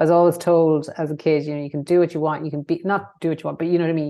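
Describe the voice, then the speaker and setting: A woman with a west of Ireland accent, very deep and low in pitch, racing at a very fast pace in a monotone, flat delivery. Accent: west of Ireland Irish. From Ireland, County Mayo. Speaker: former politician, consultancy CEO. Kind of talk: interview. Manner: hesitant, many fillers.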